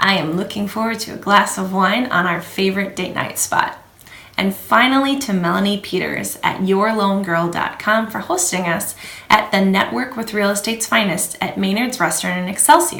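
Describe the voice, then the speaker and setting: In a room with audible echo and noticeable background noise, a woman speaks with ordinary pitch variation. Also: medium pitch for a woman, moderate pace. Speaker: realtor. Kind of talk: scripted market update video.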